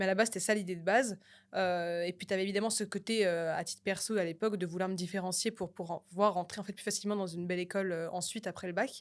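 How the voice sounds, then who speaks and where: The recording is very clean with a silent background. Delivery is very fast, with monotone, flat intonation. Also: woman, medium pitch for a woman. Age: 20s. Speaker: media entrepreneur. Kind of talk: podcast interview. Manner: many fillers and hesitations.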